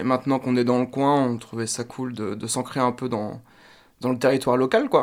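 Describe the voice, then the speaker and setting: The man talks at a moderate pace. His intonation is monotone and flat. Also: medium pitch for a man. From France, Laval. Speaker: drummer. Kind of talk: radio interview.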